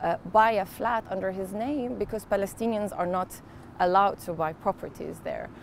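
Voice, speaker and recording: A woman talks with an Arabic accent. Her pitch varies in an ordinary way. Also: medium pitch for a woman, moderate pace. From Kuwait. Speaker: photojournalist. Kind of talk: interview.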